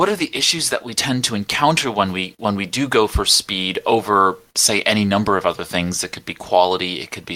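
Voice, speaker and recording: This man has an American accent and a fairly low pitch. His tone is bright and sharp, with hardly any pauses. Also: big swings in loudness. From New York. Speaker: podcast host. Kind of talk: casual panel discussion.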